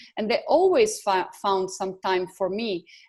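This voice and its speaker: Over a quiet background, a woman talks with an Italian accent. Her pitch is medium and her pace fairly slow. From Italy. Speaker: photographer. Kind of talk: interview. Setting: video call. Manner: halting.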